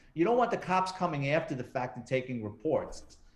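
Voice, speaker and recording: A man with a New York accent talks very fast. Noticeable background noise runs behind him. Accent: New York accent, still noticeable. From New York City, the Bronx. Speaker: retired police detective and true crime author. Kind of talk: interview.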